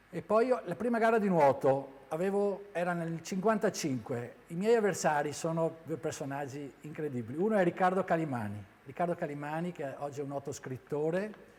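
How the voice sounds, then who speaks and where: Talking at a fairly quick pace with hardly any pauses, a man with high pitch uses lively intonation. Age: 60s. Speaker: former swimmer and swimming coach. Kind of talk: interview testimony. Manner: halting, with frequent fillers and repetitions.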